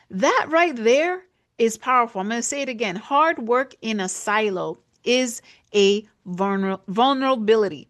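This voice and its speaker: A woman speaks at a moderate pace in a New York accent, her pitch fairly high. Her tone is animated, with lively intonation. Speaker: business podcast host. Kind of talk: casual commentary monologue. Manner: halting, filler words.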